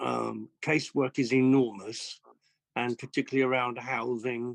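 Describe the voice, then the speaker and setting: Flat and monotone, a man with a medium pitch talks in a dry, close sound with no echo. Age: 60s. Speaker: local election candidate, city councillor. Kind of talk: hustings speech. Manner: hesitant, with many fillers.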